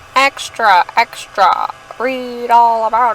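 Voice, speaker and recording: A female-sounding put-on character voice speaks at a very slow pace and a high pitch. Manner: comic, exaggerated.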